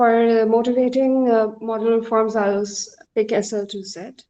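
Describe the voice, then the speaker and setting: Soft-spoken woman with a fairly high voice and ordinary pitch variation. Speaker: mathematics student lecturer. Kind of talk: lecture. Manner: hesitant, many fillers.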